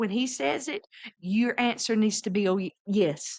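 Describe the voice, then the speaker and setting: Fairly slow and high-pitched, a woman speaks with a Southern US accent. Her pitch swings very widely. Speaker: missionary. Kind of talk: casual chat.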